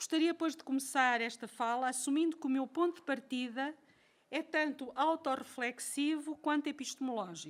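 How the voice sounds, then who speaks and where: A woman speaks in a European Portuguese accent with a high pitch. Her pitch varies an ordinary amount. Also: very clean recording, silent background. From Portugal. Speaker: professor. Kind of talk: lecture. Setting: lecture hall with audience. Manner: slow; reading from a text.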